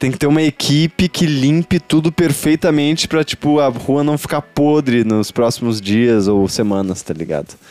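A man with fairly high pitch and lively intonation, at a moderate pace with hardly any pauses, in a dry, close sound with no echo. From southern Brazil, Porto Alegre. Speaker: podcast host. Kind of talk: casual chat. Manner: animated.

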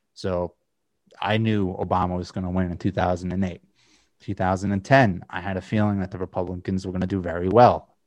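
A man with a very deep, low voice speaks in a monotone, flat intonation at a fairly quick pace against a quiet background. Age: 30s. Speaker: political podcast host. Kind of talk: casual political discussion.

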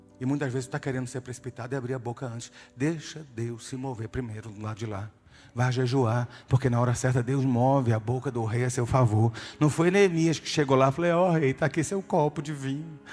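Here a man talks at a fairly quick pace, his voice somewhat breathy. His pitch moves in an ordinary way. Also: medium pitch for a man. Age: 50s. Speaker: pastor. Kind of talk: sermon. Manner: animated.

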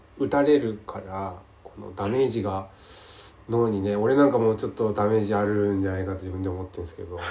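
Audible room echo carries a man's dark, mellow tone. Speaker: podcast host. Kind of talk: casual chat. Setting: call recording. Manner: halting, many fillers.

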